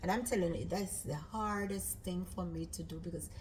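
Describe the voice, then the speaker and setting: A woman talks with a Jamaican accent. Noticeable background noise and audible room echo fill the recording. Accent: Jamaican, with patois. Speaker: cooking channel host. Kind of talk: casual chat. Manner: loud.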